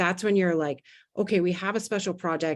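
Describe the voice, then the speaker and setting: A woman's fairly low voice, ordinary pitch variation, a fairly quick pace and a quiet background. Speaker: leadership consultant and webinar speaker. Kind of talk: webinar presentation. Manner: fast.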